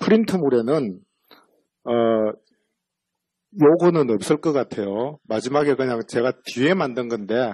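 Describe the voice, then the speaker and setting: This man's voice has a dark, mellow tone, medium pitch and lively intonation. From Busan, South Korea. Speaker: central bank economist. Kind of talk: lecture. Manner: casual, conversational with fillers.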